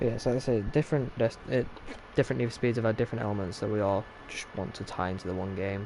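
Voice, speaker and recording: A man talks at a very fast pace in a dark, mellow tone. His pitch is fairly low, with ordinary variation. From Yorkshire, northern England. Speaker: gaming streamer. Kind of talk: live gameplay stream chat. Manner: casual, filler-heavy.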